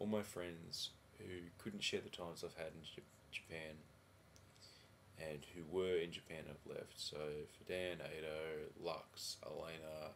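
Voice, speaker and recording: Quiet and flat, a man with an Australian accent speaks in a monotone at a very deep, low pitch and a fairly slow pace. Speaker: vlogger. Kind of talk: casual video diary. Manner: halting.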